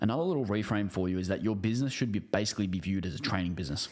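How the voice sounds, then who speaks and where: His pitch sits fairly low. This man races along at a very fast pace. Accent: Australian. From Australia. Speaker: business coach. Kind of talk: online training video. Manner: casual, with filler words.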